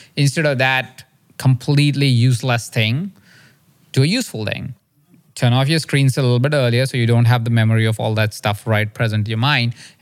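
On a very clean recording with a silent background, a man with an unremarkable speaking voice talks at a fairly quick pace with fairly even intonation. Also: medium pitch for a man. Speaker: coach and podcast host. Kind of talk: guided visualization, instructing the listener. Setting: podcast interview.

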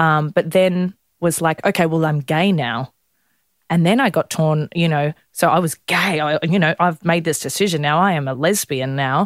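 A woman speaks with an Australian accent at a moderate pace, her pitch fairly low with ordinary variation. The loudness stays very even, and the sound is dry and close with no echo. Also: very clean recording, silent background. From Melbourne, Australia. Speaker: blogger. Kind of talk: interview.

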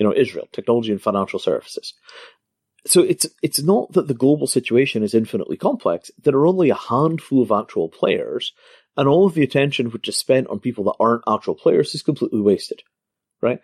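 A man with a Scottish accent at a very fast pace, dry and close with no echo, on a very clean recording with a silent background. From Scotland. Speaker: crypto entrepreneur. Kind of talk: interview.

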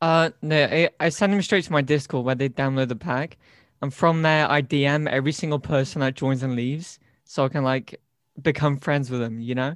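A man talks with a British accent at a fairly high pitch. His pace is fairly quick, and his pitch variation is ordinary. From United Kingdom. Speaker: YouTube gaming creator. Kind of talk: casual interview chat. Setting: online call. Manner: animated.

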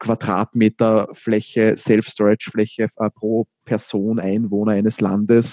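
Against a quiet background, a man speaks at a very slow pace with monotone, flat intonation in a dark, mellow tone, the sound dry and close with no echo. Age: 20s. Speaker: startup founder. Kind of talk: interview. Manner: hesitant fillers.

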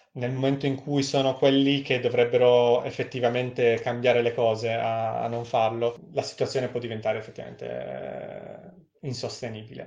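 A man speaks at medium pitch and a moderate pace. His delivery is flat and monotone, with hardly any pauses. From Friuli, north-east Italy (Udine), later Novara. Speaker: researcher. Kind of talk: casual interview.

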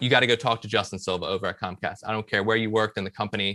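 A man with an American accent speaks at a very fast pace and medium pitch, his tone bright and sharp. The sound is dry and close with no echo, over a quiet background. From US South, Richmond, Virginia. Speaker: marketing director. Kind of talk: interview.

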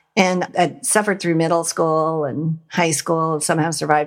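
A woman with a fairly low pitch talks at a fairly quick pace. The recording is very clean, with a silent background. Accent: Western US. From Montana, US. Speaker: nonprofit founder and leadership trainer. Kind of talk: interview conversation.

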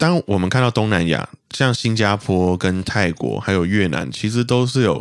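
Recorded very cleanly with a silent background, a man speaks at a moderate pace in a fairly low pitch with lively intonation. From Malaysia. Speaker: guest from Malaysia. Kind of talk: casual chat.

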